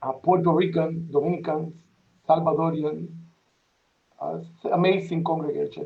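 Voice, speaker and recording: Flat, monotone delivery in a strong Spanish accent. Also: man. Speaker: parish priest. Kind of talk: welcome remarks at a panel event. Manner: halting.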